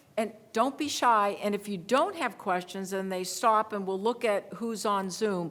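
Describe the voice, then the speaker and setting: Speaking at a moderate pace, a woman uses an ordinary speaking voice pitched in the medium range. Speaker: veterans legal advocate. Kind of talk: panel presentation with Q&A.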